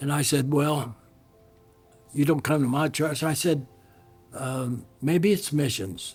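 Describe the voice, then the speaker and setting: Music plays in the background while a man speaks at a very slow pace and a fairly high pitch, with ordinary pitch variation and long, frequent pauses. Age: 80s+. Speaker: pastor. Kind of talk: storytelling anecdote.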